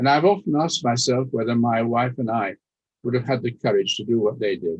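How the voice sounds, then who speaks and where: A man's medium-pitched voice with a German accent and lively intonation. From Austria, later raised in Leeds. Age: 90s. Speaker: Holocaust survivor speaker. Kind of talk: testimony. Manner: formal.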